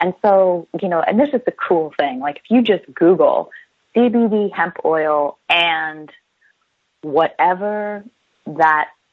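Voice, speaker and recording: A woman with an American accent, very slow pace and lively intonation. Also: medium pitch for a woman. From New Jersey. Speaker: chiropractor. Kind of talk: interview. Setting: radio show.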